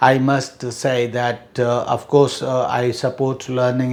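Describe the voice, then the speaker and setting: Audible room echo accompanies a man who talks at a very slow pace. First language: Hindi. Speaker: English teacher. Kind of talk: lecture. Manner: halting, many fillers.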